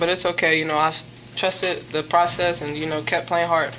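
Faint background noise sits under a fairly bright tone that moves little in pitch at a moderate pace. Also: woman, fairly low pitch for a woman.

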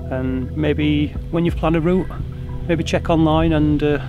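Man speaking at a moderate pace, dry with no echo, over clear music in the background. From Sheffield, England. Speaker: amateur archaeology enthusiast. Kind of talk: interview answer. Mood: calm, enthusiastic. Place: open country.

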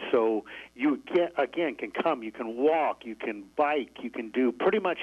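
With an American accent, a man speaks at a moderate pace in an unremarkable speaking voice with ordinary pitch variation. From Syracuse, New York. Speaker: resort manager. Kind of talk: radio interview.

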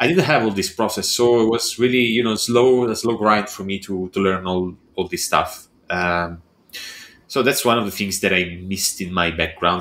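A man with an Italian accent, a bright, sharp tone, ordinary pitch variation and a moderate pace. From Italy. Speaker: architectural visualization artist and entrepreneur. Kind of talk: casual interview chat. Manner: halting, with frequent repetitions.

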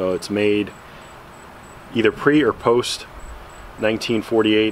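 Over light background noise, a man speaks in a fairly low pitch at a moderate pace. His intonation is fairly even. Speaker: gun collector vlogger. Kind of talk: casual show-and-tell vlog. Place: garden. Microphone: lapel.

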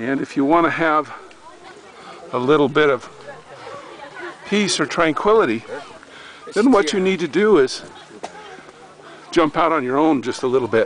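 Crowd noise sits in the background as a man speaks at a moderate pace with long, frequent pauses. The sound is dry with no echo. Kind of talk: casual travel commentary. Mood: relaxed, admiring. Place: open country. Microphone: phone near.

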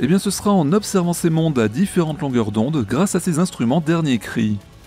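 The speech moves at a fairly quick pace with very wide pitch swings. Music plays in the background, and the sound is dry with no echo. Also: man. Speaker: science news presenter. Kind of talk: space news show presentation. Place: home room. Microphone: studio mic.

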